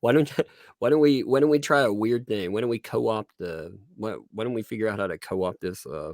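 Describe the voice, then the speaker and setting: A man speaks in a plain, everyday voice at medium pitch, his intonation lively and his pace fairly quick. The recording is very clean with a silent background and a dry, close sound with no echo. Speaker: live streamer. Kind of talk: casual chat. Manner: casual, laid-back.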